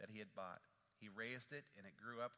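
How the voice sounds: A natural reading voice is heard in this clip.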